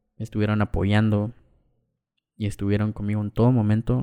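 A man's dark, mellow voice at a medium pitch and fairly quick pace, dry and close with no echo, on a very clean recording with a silent background. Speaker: podcaster. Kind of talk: personal testimony.

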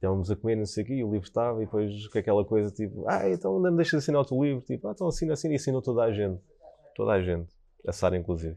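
A man talks at a very fast pace in a European Portuguese accent. His fairly low voice has lively intonation. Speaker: Michelin-starred chef. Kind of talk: casual interview chat. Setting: restaurant site under construction.

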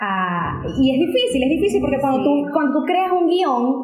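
A woman speaks with a high pitch. Noticeable background noise and audible room echo fill the recording. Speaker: journalist. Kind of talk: interview.

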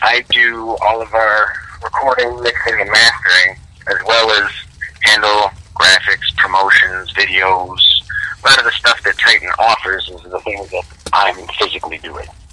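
With an American accent, a man speaks at a moderate pace with big swings in loudness over noticeable background noise. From Detroit, US. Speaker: record label owner and sound engineer. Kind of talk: interview.

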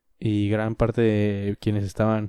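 A man with a Mexican accent, fairly low in pitch, at a fairly slow pace, dark and mellow in tone, dry and close with no echo, on a very clean recording with a silent background. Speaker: podcaster. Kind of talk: solo opinion monologue. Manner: casual.

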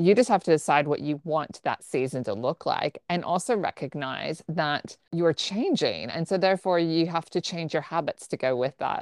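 A woman with an ordinary speaking voice and a fairly low pitch talks at a moderate pace with lively intonation and hardly any pauses. The recording is very clean with a silent background, dry and close with no echo. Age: 40s. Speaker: podcast co-host, wellness coach and Pilates instructor. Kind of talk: casual chat.

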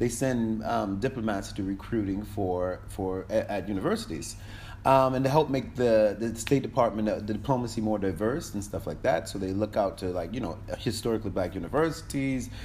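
A man's fairly low voice in an American accent, with vocal fry, ordinary pitch variation, a moderate pace and hardly any pauses. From Connecticut, US. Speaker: diplomat. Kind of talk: casual interview.

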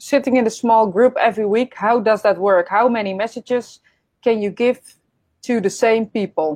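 This woman talks at a moderate pace with a Dutch accent. Her pitch is fairly high and her intonation fairly even. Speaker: podcast host and medium. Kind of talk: casual interview over live stream. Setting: live online stream. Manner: halting.

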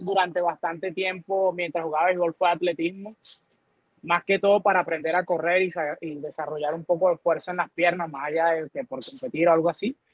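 A man with a high voice speaks at a moderate pace using fairly even intonation. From Venezuela. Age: 40s. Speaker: fitness coach. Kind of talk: casual interview.

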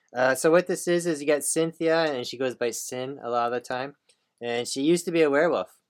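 A man's fairly high-pitched, unremarkable speaking voice at a fairly quick pace, with ordinary pitch variation. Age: 40s. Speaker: comic book podcast co-host. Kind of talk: casual chat.

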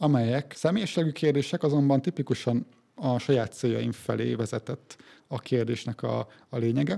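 A man with a Hungarian accent speaks at medium pitch in a dark, mellow tone, his lively intonation touched with vocal fry. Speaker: podcast host. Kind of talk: interview.

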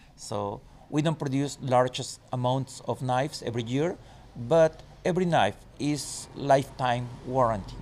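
Very slowly, a man with a Spanish accent speaks at a medium pitch with ordinary pitch variation. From Chiapas, southern Mexico. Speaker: wilderness guide and knife maker. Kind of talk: interview.

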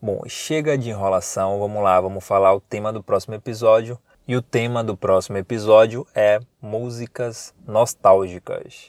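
A man speaks at a moderate pace in a normal speaking voice, fairly low in pitch with fairly even intonation, on a very clean recording with a silent background and a dry, close sound free of echo. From Bahia interior, Brazil (Paripiranga). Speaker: podcast host. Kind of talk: casual podcast monologue. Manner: informal, chatty.

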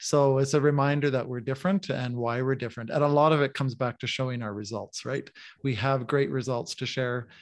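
A man with a Canadian accent uses a normal speaking voice, talking at a fairly quick pace with fairly even intonation over a quiet background. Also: medium pitch for a man. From Canadian prairies (Manitoba, Saskatchewan). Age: 50s. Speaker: sales executive. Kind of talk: podcast interview.

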